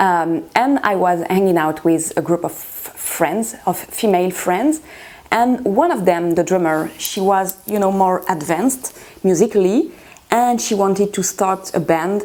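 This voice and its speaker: Noticeable background noise sits behind a woman speaking with a French accent. Her pitch is medium, with ordinary variation, at a fairly slow pace. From France. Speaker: guitarist. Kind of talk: interview. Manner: halting, many fillers.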